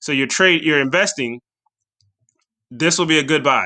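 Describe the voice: With a bright, sharp tone, a man speaks at a moderate pace in a fairly high pitch, using ordinary pitch variation.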